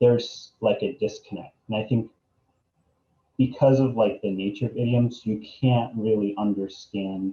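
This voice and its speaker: Somewhat breathy, a man with a dark, mellow tone speaks at a moderate pace. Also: medium pitch for a man. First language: Arabic and English bilingual. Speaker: graduating art student. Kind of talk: interview. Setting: video call. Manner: many fillers, um and like.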